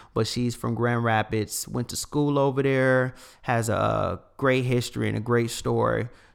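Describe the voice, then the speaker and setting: Speaking at medium pitch, a man keeps a moderate pace and fairly even intonation. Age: young. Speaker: podcast host. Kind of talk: casual chat.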